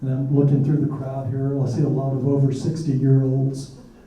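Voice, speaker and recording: A man's fairly high-pitched voice rings with audible room echo. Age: 60s. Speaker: retired chemist, disease survivor. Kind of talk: testimony. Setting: public forum with audience.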